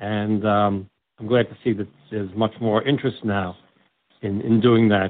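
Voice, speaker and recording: Someone with a New York accent talks at a fairly slow pace. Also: man. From New York, Brooklyn. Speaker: deacon. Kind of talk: interview; sermon. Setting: radio show.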